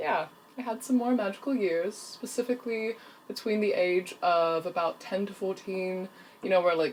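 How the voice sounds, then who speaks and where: Here a woman speaks with an American accent. Her pitch is medium, with ordinary pitch variation. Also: moderate pace. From New Zealand, childhood partly in Russia. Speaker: freelance video storyteller. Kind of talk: casual personal vlog.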